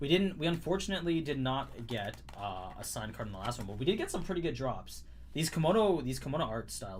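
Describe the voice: A man with an American accent talks at a fairly quick pace. His pitch is fairly high and swings very widely. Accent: Canadian that sounds close to American.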